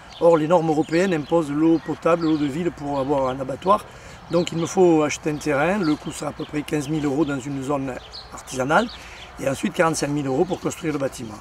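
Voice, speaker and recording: Over noticeable background noise, a man talks at a very fast pace in a fairly high voice with fairly even intonation. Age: 60s. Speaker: organic rabbit farmer. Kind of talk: crowdfunding appeal. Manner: halting.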